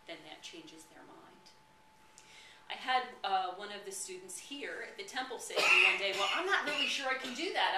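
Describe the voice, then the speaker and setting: A woman with an American accent talks at a moderate pace with very wide pitch swings. Audible room echo and noticeable background noise are present. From New Jersey. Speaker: spiritual teacher. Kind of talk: sermon. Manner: animated.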